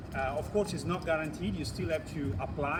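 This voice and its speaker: A man with a fairly high pitch speaks at a fairly quick pace, with audible room echo and noticeable background noise. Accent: Italian. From Italy. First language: Italian. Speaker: live show host, study-abroad agency founder. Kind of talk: live-streamed interview show. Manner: hesitant, many fillers and repeats.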